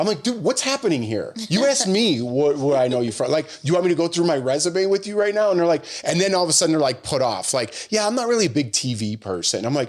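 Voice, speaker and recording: A man speaks loudly at a high pitch and a very fast pace, with hardly any pauses. His pitch swings very widely, and there is noticeable background noise. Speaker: podcast co-host, TV host. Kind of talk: casual chat.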